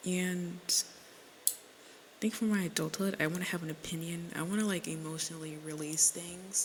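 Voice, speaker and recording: The woman's voice is fairly low in pitch, with monotone, flat intonation. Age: 20s. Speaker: podcaster. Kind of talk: casual solo podcast monologue. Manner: rambling, filler-heavy.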